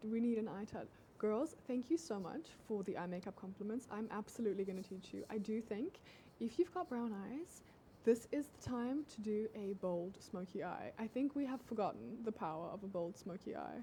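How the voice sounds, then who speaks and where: A woman talks with a fairly high pitch and lively intonation. Her voice is somewhat breathy. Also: moderate pace. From South Africa. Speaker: dating advice influencer. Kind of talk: casual livestream chat. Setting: TikTok livestream.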